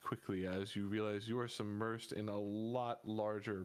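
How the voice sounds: The reading voice sounds natural. Its intonation stays fairly even.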